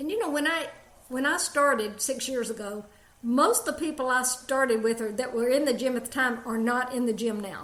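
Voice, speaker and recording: In an Alabama accent, someone talks at a fairly quick pace with ordinary pitch variation and audible room echo. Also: woman, high pitch for a woman. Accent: Alabama Southern, musical. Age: 70s. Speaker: jiu-jitsu practitioner. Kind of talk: interview.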